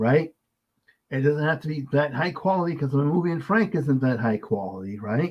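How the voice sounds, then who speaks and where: Somewhat breathy, a man speaks with a fairly high pitch and lively intonation. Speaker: podcast host, filmmaker. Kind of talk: casual chat. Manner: fast.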